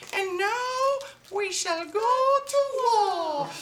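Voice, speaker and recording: A put-on character voice, squeaky and extremely high in pitch. An echo is audible. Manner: pompous, declaring war.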